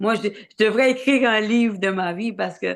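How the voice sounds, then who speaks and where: A woman with a medium pitch speaks at a fairly slow pace in a very clean recording with a silent background. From Quebec, Côte-Nord (Havre-Saint-Pierre). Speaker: singer-songwriter and tour producer. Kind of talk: interview. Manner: halting, many hesitations and repetitions.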